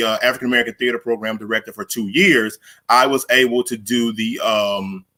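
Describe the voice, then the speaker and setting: A man with a Southern US accent, a medium pitch and a bright, sharp tone. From Arkansas Delta, US South. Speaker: theater director and academic. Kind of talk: conference presentation. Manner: halting, many fillers.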